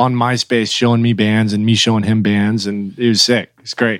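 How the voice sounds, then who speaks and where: A man in a normal speaking voice, medium in pitch, with an American accent, at a fairly quick pace, in a dry, close sound with no echo. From Oklahoma. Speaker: metal band drummer. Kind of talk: casual chat. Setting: video call.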